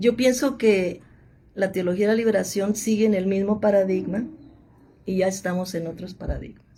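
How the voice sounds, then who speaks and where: A woman speaks at a medium pitch with a dark, mellow tone. Her voice is somewhat breathy and her intonation fairly even. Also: moderate pace. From Mexico, Monterrey (Nuevo León). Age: 70s. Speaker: theologian and biblical scholar. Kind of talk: interview.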